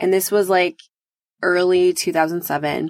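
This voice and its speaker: The recording is very clean, with a silent background. A woman speaks with a fairly low pitch and an animated tone. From US Midwest. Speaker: podcast host, love coach. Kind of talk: solo podcast monologue.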